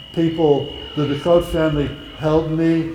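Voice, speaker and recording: The speech runs at a moderate pace. Music plays in the background, and there is audible room echo. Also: man. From Netherlands. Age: 80s+. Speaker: Holocaust survivor speaker. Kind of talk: talk and Q&A with students. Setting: school event with audience.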